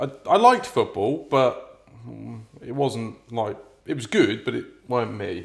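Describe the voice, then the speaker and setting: A man speaks at a fairly slow pace in a Norfolk accent. His loudness swings widely. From Norfolk, England. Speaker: podcast co-host. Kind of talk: casual chat.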